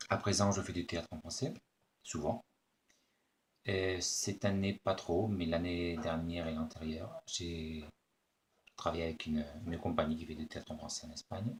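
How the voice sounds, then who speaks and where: Speaking with a Spanish accent at a moderate pace, a man uses a very deep, low pitch, somewhat breathy and fairly even in intonation, with long, frequent pauses. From Spain. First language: Spanish (speaking French). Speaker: actor. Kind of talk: self-introduction video answering questions. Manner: hesitant, many fillers.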